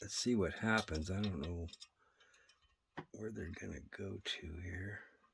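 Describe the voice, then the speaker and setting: Speaking fairly slowly, a man uses a very deep, low pitch with ordinary pitch variation. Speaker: RC model building hobbyist. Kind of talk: tutorial. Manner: casual, halting with fillers.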